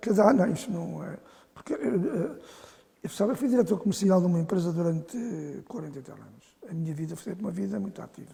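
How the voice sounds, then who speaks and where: A man at a high pitch talking at a very fast pace, with lively intonation, big swings in loudness, and noticeable background noise. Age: 70s. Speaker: football association president. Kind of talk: interview. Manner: halting.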